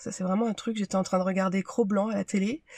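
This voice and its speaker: A somewhat breathy woman's voice at medium pitch keeps a fairly even intonation, the sound dry and close with no echo. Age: 30s. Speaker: medical secretary. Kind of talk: testimony. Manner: halting.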